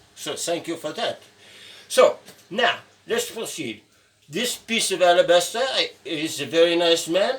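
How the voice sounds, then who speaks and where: Noticeable background noise behind a man's high-pitched voice, lively in intonation at a moderate pace. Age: 70s. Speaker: sculptor and painting teacher. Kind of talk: tutorial. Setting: sculpture studio. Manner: halting.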